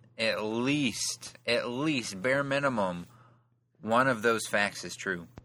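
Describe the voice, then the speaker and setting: A man talks very slowly at a medium pitch. His tone is bright and sharp, with ordinary pitch variation. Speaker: podcast host. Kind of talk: casual chat.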